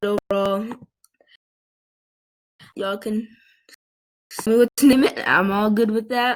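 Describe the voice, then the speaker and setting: A woman speaks fairly slowly in a squeaky, fairly high voice with flat, monotone intonation, the sound dry and close with no echo. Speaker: video game player. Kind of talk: casual gaming commentary. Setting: computer microphone.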